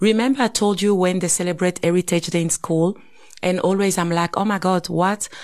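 A woman talks at a fairly quick pace. Her intonation stays fairly even. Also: medium pitch for a woman. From DR Congo. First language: Swahili. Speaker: podcast co-host. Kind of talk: casual chat.

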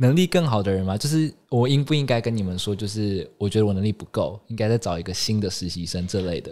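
A man with a fairly low pitch and a dark, mellow tone talks at a very fast pace with lively intonation and hardly any pauses, on a very clean recording with a silent background. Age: 20s. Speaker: fashion magazine intern, student. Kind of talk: casual interview.

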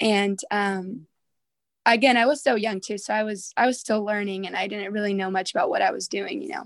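With an American accent, a woman speaks at a fairly quick pace in a normal speaking voice, her pitch varying in an ordinary way. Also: medium pitch for a woman. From Southern California. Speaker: worship singer and songwriter. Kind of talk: interview conversation.

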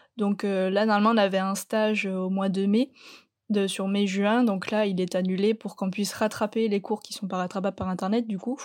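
A woman's medium-pitched voice at a moderate pace, monotone and flat in intonation. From southwest France, Landes. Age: young. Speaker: student. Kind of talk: remote interview. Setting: remote call.

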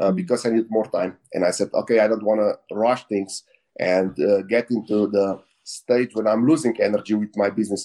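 Speaking at a moderate pace with a Slovenian accent, a man has a fairly low pitch, a dark, mellow tone, ordinary pitch variation and very even loudness. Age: 40s. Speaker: entrepreneur. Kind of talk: interview. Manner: halting.

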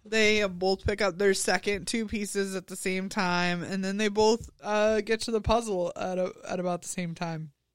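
A woman speaks with flat, monotone intonation. The recording is very clean, with a silent background. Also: medium pitch for a woman, moderate pace, hardly any pauses. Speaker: podcast co-host. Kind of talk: casual chat.

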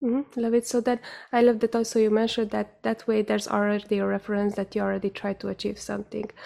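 Quiet and very fast, a woman speaks with a fairly high pitch, a dark, mellow tone and monotone, flat intonation. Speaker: podcast host. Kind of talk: casual interview. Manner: clear enunciation; quiet, calm energy.

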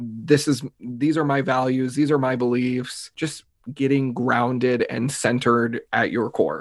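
The voice is a plain, everyday voice at a fairly slow pace. Intonation is fairly even, with hardly any pauses. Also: man, medium pitch for a man. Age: 20s. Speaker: mindset coach and speaker. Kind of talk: casual interview chat.

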